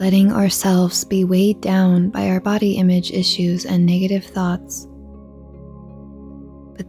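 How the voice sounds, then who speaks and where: Over music in the background, the speaker uses a calm, soothing tone at a fairly slow pace with long, frequent pauses. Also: woman. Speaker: meditation guide. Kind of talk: guided meditation. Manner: calm, slow, soothing.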